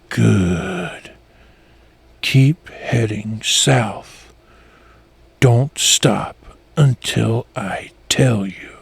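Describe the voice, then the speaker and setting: Using a put-on character voice, a man speaks at a medium pitch and a very slow pace, leaving long, frequent pauses. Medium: read story. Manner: sinister, commanding, mocking.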